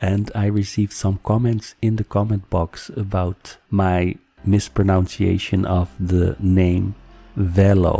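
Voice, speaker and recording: Music plays behind a man with a non-native accent and a fairly low pitch. He speaks at a very slow pace with monotone, flat intonation. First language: not English. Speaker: YouTuber on narcissistic abuse. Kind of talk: casual address to viewers; scripted advice talk.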